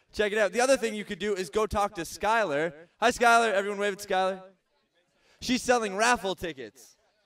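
A man speaks in an upbeat, playful tone at a high pitch and a fairly quick pace. His pitch varies in an ordinary way over a quiet background. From Southern Ontario, Canada. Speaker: festival stage MC. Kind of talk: stage hosting announcements. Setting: outdoor festival stage with audience. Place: stage.

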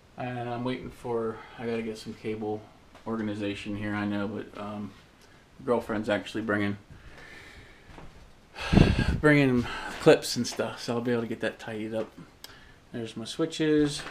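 At a moderate pace with long, frequent pauses, the speech sits over light background noise. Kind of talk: casual tour narration. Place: home room. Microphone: phone near.

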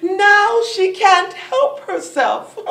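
An extremely high-pitched woman's voice at a very slow pace, with light background noise and audible room echo. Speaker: actor. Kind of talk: theatrical monologue. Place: stage. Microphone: camera far.

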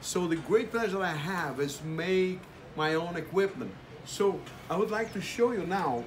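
A man speaks in a high pitch with a Brazilian accent. His pitch varies in an ordinary way, and there is light background noise. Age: 70s. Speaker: amateur radio operator. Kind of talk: casual talk to camera. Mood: proud, enthusiastic.

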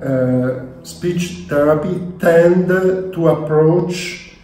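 Over faint background music and audible room echo, a man talks with ordinary pitch variation. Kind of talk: interview answer.

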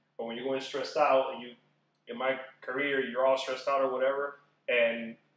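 Room echo is audible in this clip. A man speaks fairly quickly. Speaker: guest. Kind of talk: casual conversation answer. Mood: sincere, reflective. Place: home room. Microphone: camera far.

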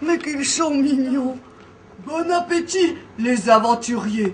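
In a cartoonish character voice, a woman talks at a high pitch and a fairly slow pace over clear background noise. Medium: puppet. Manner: warm, welcoming.

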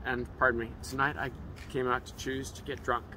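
A man with a medium pitch and a bright, sharp tone talks with vocal fry and ordinary pitch variation. The sound is dry with no echo, over light background noise. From San Francisco Bay Area and Pacific Northwest. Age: 50s. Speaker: passerby. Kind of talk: casual chat. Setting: outdoors. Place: street. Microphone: phone near.

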